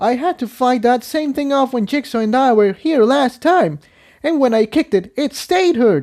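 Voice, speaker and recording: Recorded very cleanly against a silent background, a put-on character voice sits at a fairly high pitch. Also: moderate pace. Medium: read story.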